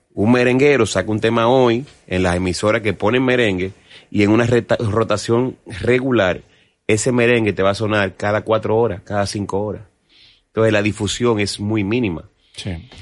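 A normal speaking voice with fairly even intonation keeps a moderate pace, the background quiet behind it. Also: man, fairly low pitch for a man. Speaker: merengue musician. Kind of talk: casual interview.

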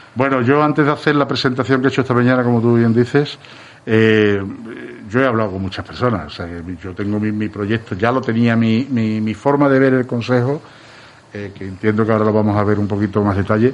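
A man's normal speaking voice, medium pitch, ordinary pitch variation and a fairly quick pace. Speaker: candidate for brotherhood council president. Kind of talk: radio interview.

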